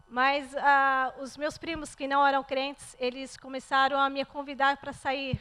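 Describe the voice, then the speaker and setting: A woman's raised, projected voice, high in pitch, with a Brazilian accent, a fairly slow pace, hardly any pauses and a monotone, flat intonation. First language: Portuguese (speaking French). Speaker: churchgoer giving testimony. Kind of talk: testimony. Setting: church.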